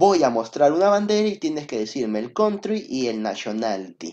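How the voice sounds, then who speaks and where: Animated in tone, a man talks with very wide swings in pitch. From Peru. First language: Spanish. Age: 20s. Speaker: primary school English teacher. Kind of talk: online class for children.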